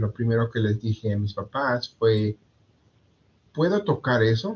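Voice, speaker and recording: At a fairly slow pace, a man speaks in a somewhat breathy voice with lively intonation. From Mexico, Puebla. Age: 30s. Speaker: insurance agent. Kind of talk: interview. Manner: halting, many fillers and repetitions.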